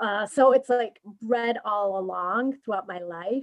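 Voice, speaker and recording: A woman's voice in a Spanish accent. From Mexico City. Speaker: career and business coach. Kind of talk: interview. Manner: halting.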